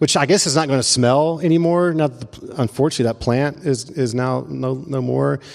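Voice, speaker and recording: With noticeable background noise, a man in a Memphis accent speaks at a moderate pace, a medium pitch and ordinary pitch variation. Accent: Southern US (Memphis). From US South, Memphis. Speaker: pastor. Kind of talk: sermon. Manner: halting.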